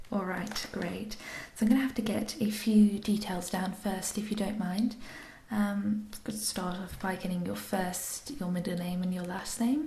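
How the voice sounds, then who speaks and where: A gentle-toned voice speaks at a fairly slow pace. Noticeable background noise runs underneath. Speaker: ASMR artist. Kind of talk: ASMR role play, doctor ear examination. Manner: soft-spoken, gentle.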